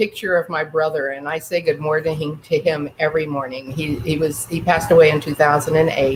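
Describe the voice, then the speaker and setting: A woman's very deep, low voice in an American accent, at a fairly quick pace. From Northern California. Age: 70s. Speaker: entrepreneur. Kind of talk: interview. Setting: radio show.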